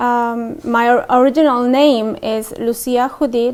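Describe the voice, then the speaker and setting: A woman speaks at a very slow pace. Her voice is high-pitched, with ordinary pitch variation. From Mexico, Puebla. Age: 30s. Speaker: convert to Islam. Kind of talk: interview testimony. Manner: hesitant, many fillers.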